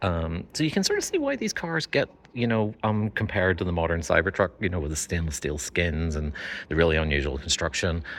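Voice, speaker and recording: A man's very deep voice with a Northern Irish accent, fairly quick, with ordinary pitch variation. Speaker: car video host. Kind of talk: casual presenting to camera. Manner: hesitant with fillers.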